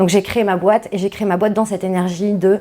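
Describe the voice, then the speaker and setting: With a dark, mellow tone, a woman speaks at a medium pitch and a moderate pace with fairly even intonation. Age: 40s. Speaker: company founder. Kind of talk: interview. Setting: podcast interview. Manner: hesitant with many fillers.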